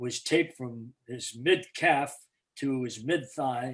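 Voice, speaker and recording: The man has a rather high voice. He talks with an American accent. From Boston, New England. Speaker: retired basketball play-by-play announcer. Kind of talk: storytelling interview. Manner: animated.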